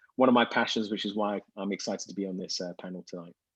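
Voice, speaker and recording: With a British accent, a man speaks at fairly low pitch. His intonation is monotone and flat over a quiet background. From Britain. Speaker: business intelligence company CEO, panelist. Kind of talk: panel discussion.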